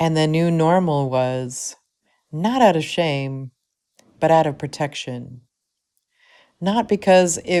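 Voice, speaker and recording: A soft-spoken woman with a very deep, low pitch and a dark, mellow tone talks at a very slow pace in a very clean recording with a silent background. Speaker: spoken word poet. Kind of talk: spoken word poetry.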